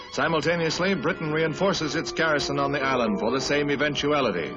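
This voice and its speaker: A dramatic tone at a fairly quick pace, with music in the background. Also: man. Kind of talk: newsreel narration. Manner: dramatic, urgent.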